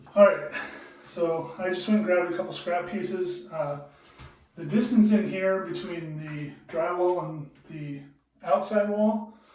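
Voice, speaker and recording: A man's high-pitched, relaxed-toned voice with fairly even intonation, audible room echo and noticeable background noise. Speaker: DIY home improvement vlogger. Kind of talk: tutorial. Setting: in a bathroom at home. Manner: casual, relaxed.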